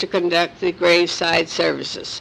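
A woman with a fairly low pitch. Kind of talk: oral history reading. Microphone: old recording.

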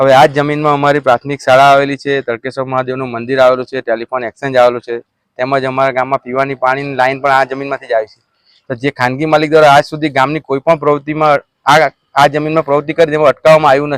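The recording is dry and close with no echo, carrying a man's fairly high voice in a flat, monotone delivery. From Navsari district, Gujarat. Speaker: former village head. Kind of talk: interview statement.

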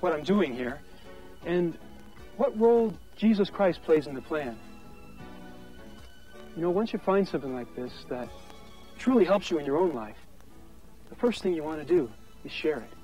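Against faint music in the background, a man with a high pitch talks at a moderate pace with long, frequent pauses, the sound dry with no echo. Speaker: on-screen host of a church film. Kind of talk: scripted personal testimony to camera. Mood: warm, earnest, gentle. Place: open country.

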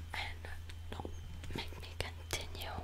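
A man is whispering. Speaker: video creator. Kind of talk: playful comedic monologue to camera, ASMR-like. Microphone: studio mic.

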